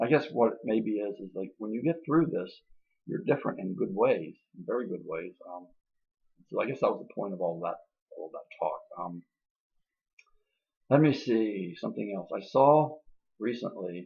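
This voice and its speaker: Loudness jumping up and down, long frequent pauses, and very wide swings in pitch. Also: man, medium pitch for a man, moderate pace. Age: 60s. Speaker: video blogger on benzodiazepine withdrawal. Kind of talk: casual monologue. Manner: halting.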